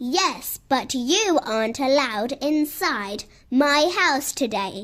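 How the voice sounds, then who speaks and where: A woman's high-pitched, put-on character voice at a very slow pace, with lively intonation. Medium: read story. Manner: cheerful, amused.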